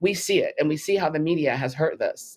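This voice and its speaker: A woman speaks with a Californian accent. Her pace is fairly quick. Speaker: filmmaker and vaccine-injury advocate. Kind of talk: interview.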